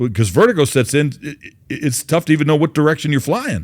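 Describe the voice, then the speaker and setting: A man with a fairly high pitch and ordinary pitch variation speaks in a normal speaking voice. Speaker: podcast host. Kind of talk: interviewer questions.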